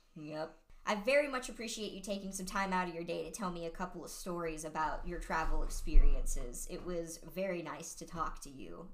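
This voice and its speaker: Woman's medium-pitched voice with ordinary pitch variation, big swings in loudness, a fairly quick pace and hardly any pauses, amid audible room echo and noticeable background noise. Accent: American. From Ohio, US Midwest. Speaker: podcast host. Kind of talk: casual chat.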